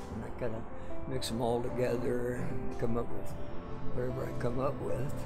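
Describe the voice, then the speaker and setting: Loud music plays in the background while a man talks. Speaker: street artist. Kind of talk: interview answer. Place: street. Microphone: phone near.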